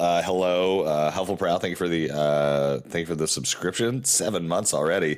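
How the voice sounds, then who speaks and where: Against noticeable background noise, the speaker moves at a moderate pace with ordinary pitch variation. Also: man. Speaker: board game streamer. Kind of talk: casual chat. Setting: live stream.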